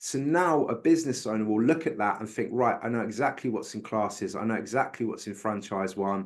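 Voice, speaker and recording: A man's medium-pitched voice with a British accent, against a quiet background. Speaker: bookkeeping speaker. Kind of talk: webinar presentation.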